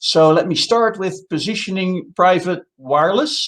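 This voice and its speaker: This man has a Dutch accent. His pitch is high. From Netherlands. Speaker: telecom consultant. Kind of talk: conference presentation.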